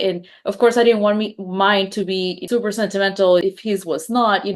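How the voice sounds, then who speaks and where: A woman speaks with a Spanish accent at a medium pitch and a moderate pace. Her pitch varies in an ordinary way, and the background is quiet. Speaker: podcast host, wedding business owner. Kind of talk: podcast interview.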